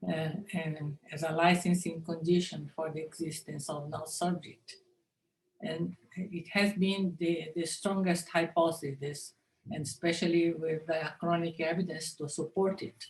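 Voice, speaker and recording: In a Japanese accent, a woman speaks somewhat breathily at a fairly slow pace, with a fairly low pitch and monotone, flat intonation. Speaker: linguistics professor. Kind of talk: conference lecture. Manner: halting.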